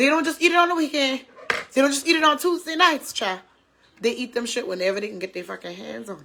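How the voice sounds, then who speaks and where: A woman's raised, projected voice, high-pitched and animated, with very wide pitch swings at a very fast pace. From US South. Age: 30s. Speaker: talk show host. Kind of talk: casual chat.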